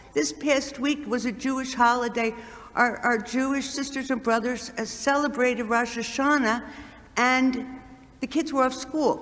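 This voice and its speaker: Fairly slow speech with audible room echo. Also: woman, high pitch for a woman. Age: 60s. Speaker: nun and community center co-founder. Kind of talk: address to a church congregation. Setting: church. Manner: animated, repetitive emphasis.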